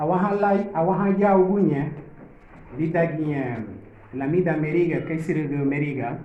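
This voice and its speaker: A man with a Central American accent speaks at a fairly quick pace, fairly high in pitch and with ordinary pitch variation, yet with long, frequent pauses. Room echo is audible, and background noise is noticeable. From Honduras, Garifuna village. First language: Garifuna. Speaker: Garifuna community delegate. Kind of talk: formal speech at a gathering.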